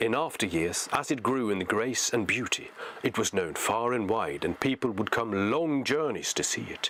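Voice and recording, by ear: Here we hear reading aloud in a natural voice. Its intonation is lively.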